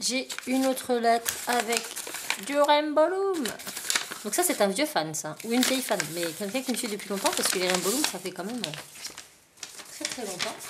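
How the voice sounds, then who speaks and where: A woman's high-pitched voice with very wide pitch swings, a moderate pace, long and frequent pauses, and noticeable background noise. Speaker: craft YouTuber. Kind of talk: casual haul video. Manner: animated.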